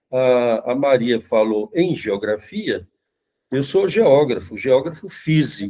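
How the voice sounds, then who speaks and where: With a dark, mellow tone, a man talks at a very slow pace in a medium pitch marked by very wide pitch swings. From Brazil, Brasília (from age five). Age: 70s. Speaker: professor and esoteric practitioner. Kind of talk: podcast interview. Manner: halting, with many fillers and repetitions.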